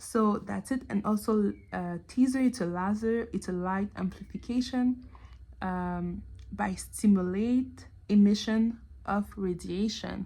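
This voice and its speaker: Somewhat breathy and dark, mellow in tone, the voice carries a Quebec accent. It moves at a very slow pace with ordinary pitch variation. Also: woman. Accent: French Canadian accent in English. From Canada. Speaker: TV show commentator. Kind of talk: casual video analysis monologue. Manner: halting, many fillers.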